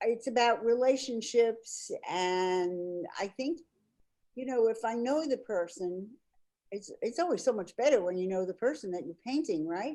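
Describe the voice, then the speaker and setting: A woman with a dark, mellow tone and a fairly high pitch. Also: lively intonation. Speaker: painter. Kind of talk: interview. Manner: slow.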